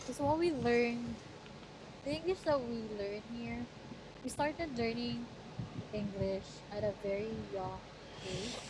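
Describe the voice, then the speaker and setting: A woman with a strong Batangas accent speaks in a fairly high voice with lively intonation, at a fairly slow pace and with long, frequent pauses. Audible room echo and noticeable background noise surround her. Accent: heavy Tagalog, Batangueño. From Philippines, Batangas. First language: Tagalog. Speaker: channel owner's girlfriend. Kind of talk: casual chat.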